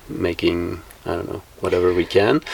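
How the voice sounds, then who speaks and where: A man speaks in a Flemish accent with noticeable background noise. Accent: Belgian (Flemish) English. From Belgium. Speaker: bus hostel operator. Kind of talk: interview. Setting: on a converted bus.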